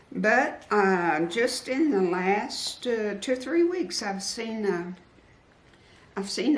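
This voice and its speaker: A woman talks at a very slow pace with lively intonation. Noticeable background noise and audible room echo are present. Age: 70s. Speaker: quilting YouTuber. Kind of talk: interview. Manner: halting.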